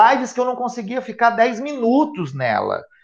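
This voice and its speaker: A man is speaking. The background is quiet. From Espírito Santo, Brazil. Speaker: education event organiser and speaker; speaker. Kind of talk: live webinar conversation. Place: home room. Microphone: earbuds.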